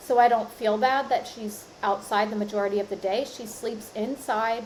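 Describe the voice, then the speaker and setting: A woman with a normal speaking voice talks in a fairly high pitch with fairly even intonation. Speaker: podcast host. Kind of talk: solo podcast monologue. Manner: casual, conversational.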